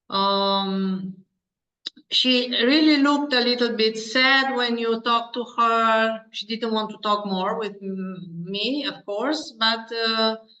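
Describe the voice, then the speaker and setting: A woman's fairly high, bright, sharp voice with a Romanian accent, ordinary pitch variation and a very slow pace. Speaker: pediatrician. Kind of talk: interview. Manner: halting.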